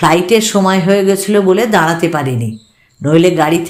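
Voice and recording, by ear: In a natural voice, someone reads a text aloud.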